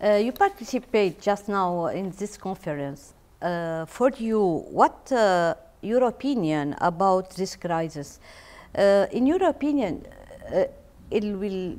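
Speaking very slowly with an Arabic accent, a woman uses lively intonation at a medium pitch. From Lebanon. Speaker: TV interviewer. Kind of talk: interview. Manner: halting. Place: hall.

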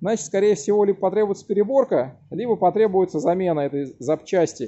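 A man talks at a moderate pace with a high pitch. His intonation is lively. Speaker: bicycle mechanic. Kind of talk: tutorial. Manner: loud. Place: workshop. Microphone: phone near.

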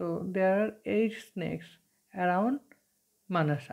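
Against a quiet background, a woman with a Bengali accent speaks at a very slow pace with ordinary pitch variation. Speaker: teacher. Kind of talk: lecture. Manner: hesitant, many fillers. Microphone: phone near.

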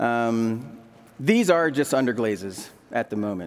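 The voice belongs to a man. His pitch rises and falls across a very wide range. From Delaware, US. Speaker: ceramic artist and printmaker; demonstrating artist. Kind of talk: live demonstration talk. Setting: stage with audience. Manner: casual, halting with fillers. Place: stage. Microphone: headset.

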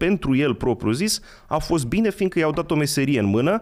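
Against a quiet background, a man with vocal fry talks at a fairly quick pace and a fairly high pitch, his pitch swinging very widely. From Romania, Călărași county; Romania. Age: 30s. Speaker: history enthusiast; podcast guest. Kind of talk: casual chat. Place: studio. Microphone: studio mic.

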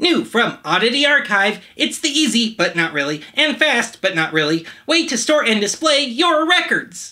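A put-on character voice in a deadpan tone, fairly high in pitch, with very wide pitch swings at a moderate pace. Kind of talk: retro ad pitch. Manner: deadpan salesman.

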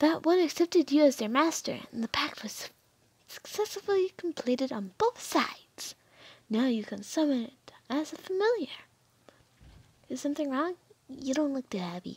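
A woman puts on a character voice, pitched high, with long pauses coming often. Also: moderate pace. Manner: cheerful, eager, fawning toward master.

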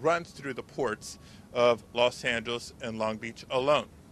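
A man with a bright, sharp tone and vocal fry speaks with lively intonation, the sound dry with no echo and only light background noise. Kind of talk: press conference speech. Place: waterside. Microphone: podium.

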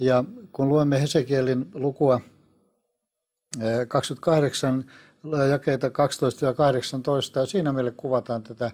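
Against a quiet background, the speech moves at a very slow pace with fairly even intonation. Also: man. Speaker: guest. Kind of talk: interview answer, biblical teaching. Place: studio. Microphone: lapel.

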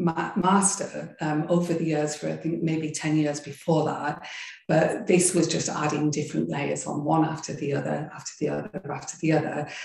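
The voice has a dark, mellow tone with vocal fry, moving at a moderate pace with audible room echo and a quiet background. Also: woman. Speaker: yoga and meditation teacher. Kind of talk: interview. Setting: video call. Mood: warm, reflective storytelling. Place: home room. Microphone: video call.

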